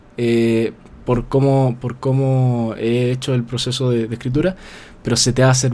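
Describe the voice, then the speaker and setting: At a moderate pace and medium pitch, a man with an unremarkable speaking voice talks with ordinary pitch variation. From Chile. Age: 20s. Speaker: novelist. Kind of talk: casual interview.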